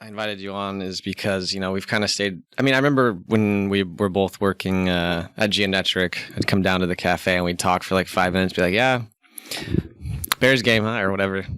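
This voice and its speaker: A man speaks in a normal speaking voice, fairly low in pitch, at a fairly quick pace with fairly even intonation. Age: 30s. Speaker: podcast host. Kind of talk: casual chat.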